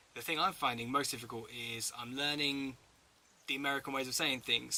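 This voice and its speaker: Moving at a moderate pace, a man with a strong English accent speaks in a bright, sharp tone and fairly even intonation. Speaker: travel vlogger. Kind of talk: casual Q&A.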